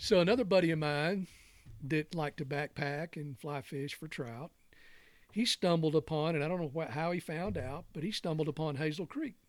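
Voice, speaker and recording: A man with a Southern US accent speaks at a moderate pace in a fairly high pitch, with ordinary pitch variation, on a very clean recording with a silent background. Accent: Southern US (Georgia). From Georgia, US South (Newnan, south of Atlanta). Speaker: fly fisherman and wooden drift boat builder. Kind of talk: casual chat, storytelling. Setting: studio.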